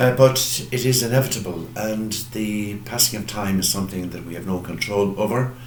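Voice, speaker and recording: In a western Irish accent, a man speaks at a moderate pace with hardly any pauses, his pitch fairly low and its variation ordinary. Loudness swings widely, and there is audible room echo plus noticeable background noise. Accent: Irish (west of Ireland). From Ireland, County Mayo. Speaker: parish priest. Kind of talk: farewell address. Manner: hesitant, with frequent fillers.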